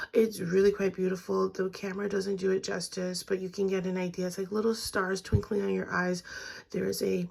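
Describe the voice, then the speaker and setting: Noticeable background noise accompanies a woman who is soft-spoken. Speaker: beauty vlogger. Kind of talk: casual makeup review. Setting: at home vanity.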